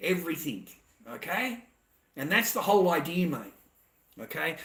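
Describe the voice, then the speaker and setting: This man has a strong Australian accent and a high pitch. He talks at a moderate pace. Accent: broad Australian. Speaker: livestreamer. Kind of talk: casual monologue. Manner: animated.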